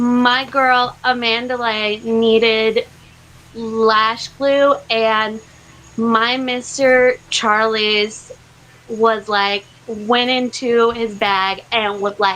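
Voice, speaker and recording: Using an American accent, a woman talks very slowly in a fairly high pitch with monotone, flat intonation. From Idaho, US. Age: 20s. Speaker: drag performer, contestant. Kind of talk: audition interview.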